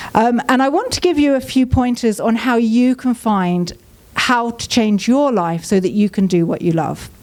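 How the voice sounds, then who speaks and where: A woman speaks at a moderate pace in a southern English accent, her intonation lively. Noticeable background noise can be heard. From southern England. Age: 40s. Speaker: business mentor and speaker. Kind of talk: inspirational talk. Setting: stage with audience.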